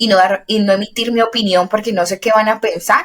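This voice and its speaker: This woman has a normal speaking voice, pitched at a medium level. She keeps a moderate speed and fairly even intonation. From Colombia, Valle del Cauca. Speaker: podcast co-host. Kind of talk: casual chat.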